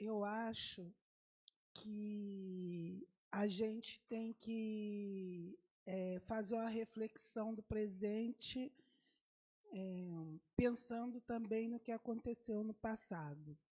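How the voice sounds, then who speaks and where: A woman speaks at a very slow pace in a fairly high pitch, her somewhat breathy voice carrying a dark, mellow tone and ordinary pitch variation. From Rio de Janeiro, Brazil. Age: 70s. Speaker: community activist speaker. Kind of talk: panel talk. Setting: university panel event. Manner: halting.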